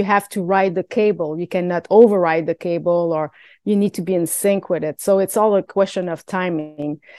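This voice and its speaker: A woman speaks with a Quebec accent, her fairly low voice carrying a fairly even intonation. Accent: Québécois French accent in English. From Quebec, Canada. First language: French. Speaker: stunt performer. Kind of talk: interview. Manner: halting, many fillers.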